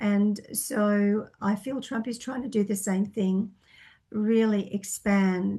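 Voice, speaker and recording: A woman speaks at a medium pitch in a flat monotone. Her tone is dark and mellow and somewhat breathy. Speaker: psychic reader. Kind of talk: Q&A monologue answering viewer questions. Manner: hesitant, many fillers.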